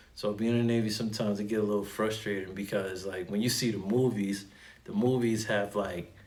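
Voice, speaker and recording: A man with a slight New York accent speaks at a moderate pace in a fairly low, monotone, flat voice, with audible room echo. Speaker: Navy sailor and YouTuber. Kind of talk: unscripted casual explainer. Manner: casual, many fillers and repeats.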